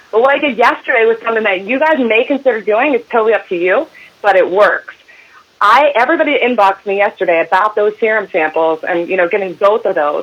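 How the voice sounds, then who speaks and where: Speaking very fast, a woman uses an energetic tone and lively intonation at a fairly high pitch. Noticeable background noise runs behind her. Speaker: network marketing team leader. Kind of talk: sales training call. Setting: conference call. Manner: fast, energetic.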